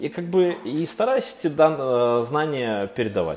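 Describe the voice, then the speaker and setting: A man keeps a moderate pace and lively intonation despite noticeable background noise around him. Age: 30s. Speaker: agency founder and business angel. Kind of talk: interview.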